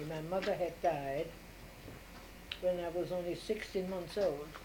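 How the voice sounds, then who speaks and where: A woman speaks at a moderate pace with a fairly low pitch and fairly even intonation, and audible room echo surrounds her. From Austria, Vienna. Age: 80s+. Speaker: grandmother interviewed by family. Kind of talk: family interview.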